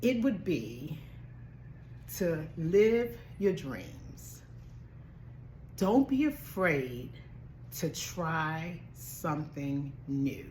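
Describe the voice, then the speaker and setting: Against audible room echo, a woman talks at a very slow pace with long, frequent pauses. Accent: American. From Baltimore, US. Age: 60s. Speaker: travel vlogger and nurse. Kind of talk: motivational vlog talk. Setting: at home.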